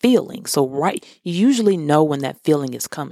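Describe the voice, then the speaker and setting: The voice has a dark, mellow tone and lively intonation, moving at a moderate pace in a dry, close sound with no echo. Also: woman. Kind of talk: devotional monologue. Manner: hesitant with frequent fillers.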